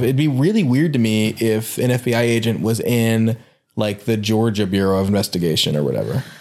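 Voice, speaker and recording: At a moderate pace, a man talks at medium pitch. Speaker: podcast co-host. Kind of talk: casual chat. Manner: awkward, microphone shy.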